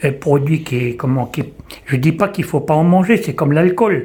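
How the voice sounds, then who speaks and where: A man's voice with ordinary pitch variation. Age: 60s. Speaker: visually impaired person giving testimony. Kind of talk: testimony. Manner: halting.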